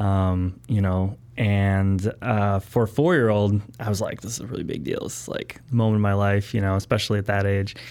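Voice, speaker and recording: With an American accent, a man with an unremarkable speaking voice talks at a moderate pace in a fairly low pitch, with ordinary pitch variation and hardly any pauses, on a very clean recording with a silent background. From Wisconsin, Milwaukee area. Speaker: entrepreneur. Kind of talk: interview.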